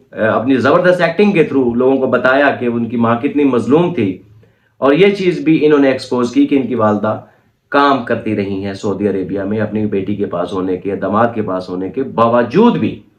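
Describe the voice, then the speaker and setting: His pitch leaps across a very wide range. The voice belongs to a man. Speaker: YouTube commentator. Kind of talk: reaction commentary monologue. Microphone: no microphone, recorded on phone.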